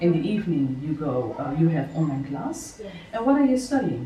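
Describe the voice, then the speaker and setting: Over noticeable background noise and audible room echo, a woman speaks at a fairly low pitch. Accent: Dutch. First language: Dutch. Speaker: podcast host and success coach. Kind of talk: interview. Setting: on location at a children's home in Bali.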